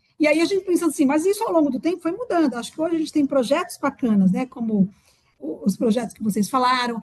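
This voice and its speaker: The speech moves at a very fast pace. Its pitch makes very wide swings. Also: woman, high pitch for a woman. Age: 60s. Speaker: public health researcher. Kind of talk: panel discussion.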